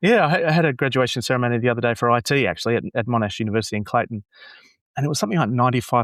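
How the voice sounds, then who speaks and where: This man talks at a very fast pace, with a medium pitch and ordinary pitch variation. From Australia. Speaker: graduation announcer and app developer. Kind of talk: casual interview chat. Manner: halting, many repeated words.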